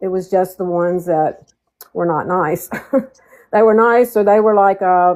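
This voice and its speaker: An ordinary speaking voice with ordinary pitch variation and a fairly slow pace. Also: woman. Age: 60s. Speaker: panel participant. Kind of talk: casual chat.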